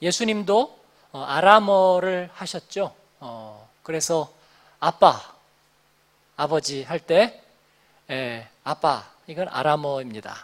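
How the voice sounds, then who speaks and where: Speaking at a very slow pace, a man with a high voice uses lively intonation. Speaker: pastor. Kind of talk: sermon. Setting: church. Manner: conversational with filler sounds.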